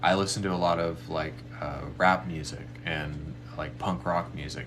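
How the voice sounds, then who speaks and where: A man's very deep, low voice with ordinary pitch variation, in audible room echo. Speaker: spiritual medium offering readings and meditations. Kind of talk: live stream talk leading a meditation. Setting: live stream. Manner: fast.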